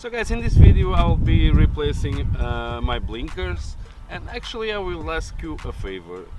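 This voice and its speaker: With audible room echo and noticeable background noise around him, a man talks at a moderate pace. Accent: Portuguese. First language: Portuguese. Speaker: car DIY YouTuber. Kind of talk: tutorial. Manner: hesitant with many fillers.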